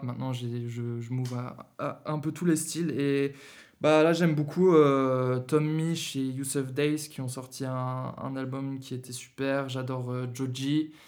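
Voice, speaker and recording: Speaking very slowly, a man keeps a medium pitch in a monotone, flat delivery. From Germany, Berlin. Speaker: rapper and singer. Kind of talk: casual interview. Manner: halting, hesitant.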